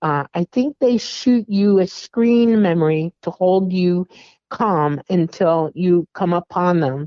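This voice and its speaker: The pitch moves in an ordinary way. It is a plain, everyday voice. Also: woman. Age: 60s. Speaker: alien contact experiencer. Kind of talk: interview testimony.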